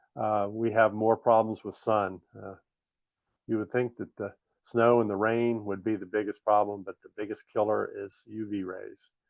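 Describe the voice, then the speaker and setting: A man talks at a fairly low pitch and a fairly slow pace. His intonation is monotone and flat. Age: 60s. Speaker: model railroader. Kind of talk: slideshow presentation. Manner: halting, many fillers.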